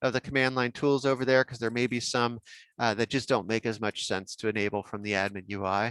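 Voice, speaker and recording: In a very clean recording with a silent background and a dry, close sound with no echo, an ordinary speaking voice talks with fairly even intonation. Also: man. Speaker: software workshop trainer. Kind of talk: technical training workshop.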